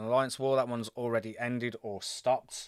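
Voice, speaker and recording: A man speaks at medium pitch in a Birmingham accent, with fairly even intonation. The sound is dry and close, with no echo. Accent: British, Birmingham. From England, Birmingham. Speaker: gaming livestreamer. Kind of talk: live gameplay commentary. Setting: live stream. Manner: casual, chatty.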